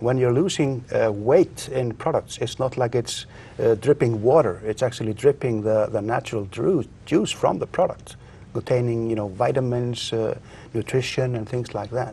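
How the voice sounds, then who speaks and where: A man with an Icelandic accent speaks at a moderate pace with ordinary pitch variation. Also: medium pitch for a man. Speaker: inventor; guest. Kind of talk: interview. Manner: halting. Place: studio. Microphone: lapel.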